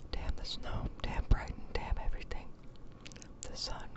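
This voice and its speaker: Someone is whispering at a moderate pace. Noticeable background noise runs underneath. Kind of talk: ASMR story reading. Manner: whispered.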